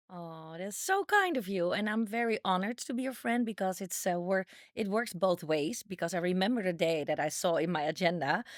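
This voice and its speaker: In a Dutch accent, a woman talks at a fairly quick pace with hardly any pauses. Her pitch is medium. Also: ordinary pitch variation. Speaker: dating coach. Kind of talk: casual chat.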